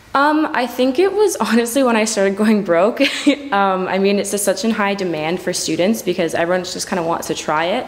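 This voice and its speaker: A woman talks at a fairly quick pace with a medium pitch and ordinary pitch variation. Noticeable background noise runs under her voice. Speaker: student who sells prescription drugs. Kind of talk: interview. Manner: fast.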